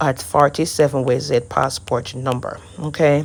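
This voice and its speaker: With a Jamaican accent, a woman talks with vocal fry. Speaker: immigration paperwork preparer. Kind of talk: screen-share tutorial.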